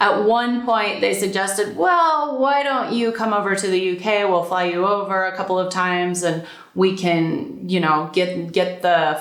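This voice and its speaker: A woman's medium-pitched voice at a moderate pace, with audible room echo. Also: hardly any pauses. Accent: American. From United States. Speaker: calligrapher and blogger. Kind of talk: casual talk to camera. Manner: conversational, with repetitions.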